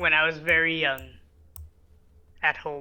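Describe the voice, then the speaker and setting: The speaker uses a put-on character voice at a middle pitch and a fairly slow pace. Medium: actual play. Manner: formal, measured.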